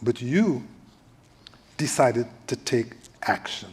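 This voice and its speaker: His voice comes across somewhat breathy. The man's pitch varies in an ordinary way. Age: 70s. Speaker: panel moderator. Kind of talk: panel discussion. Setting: stage with audience at a library event.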